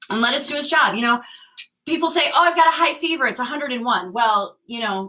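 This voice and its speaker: A woman speaks in a raised, projected voice with a high pitch and lively intonation. Her pace is very fast. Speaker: chiropractor. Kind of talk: live online health class. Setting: live video stream.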